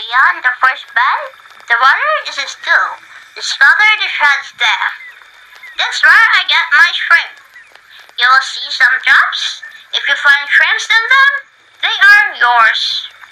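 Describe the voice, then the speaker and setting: A female-sounding, put-on character voice, squeaky and extremely high in pitch, with very wide pitch swings. The pace is fairly slow, broken by long, frequent pauses. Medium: audio drama. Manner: gentle, quiet.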